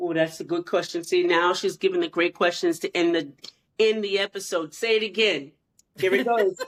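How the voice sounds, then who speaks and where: Using an ordinary speaking voice, a woman at a medium pitch keeps a moderate pace and fairly even intonation. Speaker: podcast co-host. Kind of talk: casual chat.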